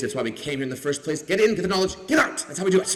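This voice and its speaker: A man with a Canadian accent speaks in a high pitch with lively intonation. His tone is animated, and there is noticeable background noise. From Canada. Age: 40s. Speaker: comedian and TV host. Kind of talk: convocation speech with stand-up humor. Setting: stage with audience.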